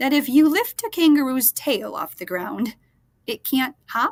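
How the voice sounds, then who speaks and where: Putting on a character voice, a woman speaks at a high pitch with very wide swings up and down. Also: moderate pace. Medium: read story.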